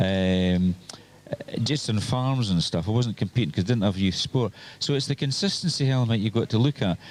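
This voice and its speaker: A man at a moderate pace, with very wide pitch swings. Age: 60s. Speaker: trials observer. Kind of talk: casual interview.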